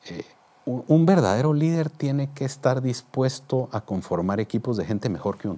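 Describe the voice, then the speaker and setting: Medium pitch, lively intonation, a moderate pace and an unremarkable speaking voice, all from a man. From Guatemala, Guatemala City. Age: 50s. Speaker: business executive. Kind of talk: interview. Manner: formal.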